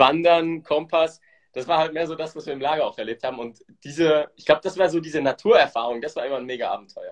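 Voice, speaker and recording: A man talks at a very fast pace. His pitch is fairly high with ordinary variation. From Switzerland. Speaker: podcast host, entrepreneur. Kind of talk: casual interview chat, Instagram live.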